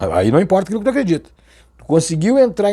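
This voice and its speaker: Very wide swings in pitch run through this man's dark, mellow voice. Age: 50s. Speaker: Umbanda spiritual teacher. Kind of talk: religious talk to camera. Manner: halting.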